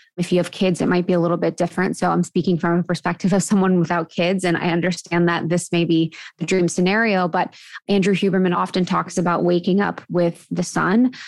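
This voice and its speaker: Over a very clean recording with a silent background, a woman with an American accent speaks fairly quickly in a fairly low, monotone, flat voice at very even loudness. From US Midwest (Ohio). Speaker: podcast co-host, guest. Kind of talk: casual interview.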